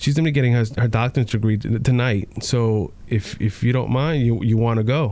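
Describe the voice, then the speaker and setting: A man's medium-pitched voice with an American accent, a dark, mellow tone, ordinary pitch variation, very even loudness, a fairly quick pace and hardly any pauses. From New York. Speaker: sheriff's deputy. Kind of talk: testimony. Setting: home living room.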